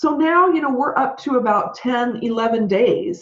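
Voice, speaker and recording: Animated in tone, a woman with a somewhat breathy voice makes very wide pitch swings. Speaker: podcast host and business consultant. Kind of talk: solo podcast talk.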